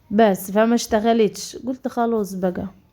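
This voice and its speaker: A woman's dark, mellow tone. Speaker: vlogger. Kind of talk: casual vlog talk. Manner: halting, many fillers.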